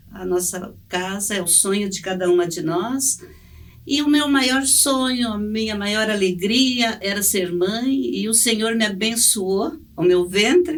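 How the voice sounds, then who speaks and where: A woman talks very slowly, her fairly high voice full of lively intonation. Room echo is audible. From Brazil, Paraná (rural, then Curitiba). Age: 60s. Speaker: church member, mother. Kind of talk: testimony. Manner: halting, with fillers.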